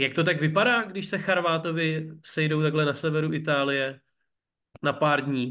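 This man talks at a fairly quick pace. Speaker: sports reporter and podcast host. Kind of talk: interview.

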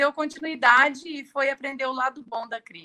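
A woman projects her voice, speaking in a raised tone. Her pitch is high. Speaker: tax lawyer. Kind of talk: live-stream interview. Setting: live YouTube stream.

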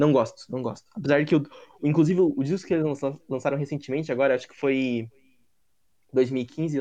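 A man talks at a fairly quick pace and a fairly high pitch, with fairly even intonation. His tone is dark and mellow, and the background is quiet. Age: 20s. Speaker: podcast host. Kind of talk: casual chat.

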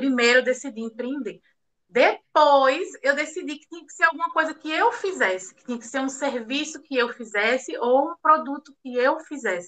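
Her high pitch and lively intonation carry a bright, sharp tone as the woman speaks. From Recife, Pernambuco, Brazil. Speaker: bookbinding artisan. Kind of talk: interview.

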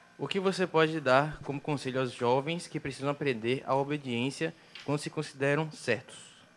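This is a man with a plain, everyday voice and a fairly high pitch. He speaks at a moderate pace with ordinary pitch variation. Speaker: production assistant reading viewer questions. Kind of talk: casual chat.

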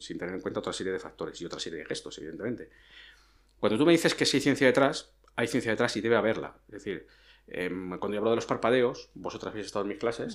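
A man speaks at a very fast pace and medium pitch. His intonation is lively, with big swings in loudness. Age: 40s. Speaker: police officer and nonverbal communication educator. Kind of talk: interview.

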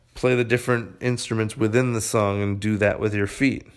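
An ordinary speaking voice from a man at fairly low pitch, moderate pace and fairly even intonation, in a very clean recording with a silent background. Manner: chatty and conversational, laughing and ad-libbing.

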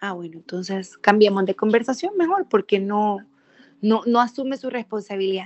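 In a normal speaking voice, the words arrive at a fairly quick pace, the pitch shifting in an ordinary way. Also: woman. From El Salvador, Sonsonate. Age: 30s. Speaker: politician, lawyer and former TV presenter. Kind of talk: podcast interview.

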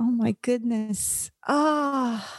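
In a Russian accent, the speaker talks with ordinary pitch variation, the sound dry and close with no echo. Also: woman. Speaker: comedian and actress. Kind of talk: casual interview.

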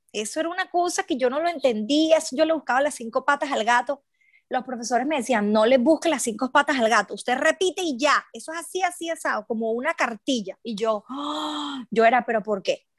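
A high-pitched woman with a Venezuelan accent and lively intonation, fairly quick pace and hardly any pauses, in a very clean recording with a silent background and a dry, close sound with no echo. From Venezuela, Aragua. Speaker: journalist and cook. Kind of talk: casual interview. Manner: animated.

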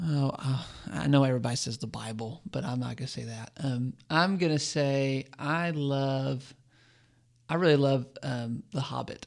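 With an American accent, a normal speaking voice at a moderate speed, pitch varying in an ordinary way. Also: man, medium pitch for a man. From Arizona. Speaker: campus minister. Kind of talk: casual interview.

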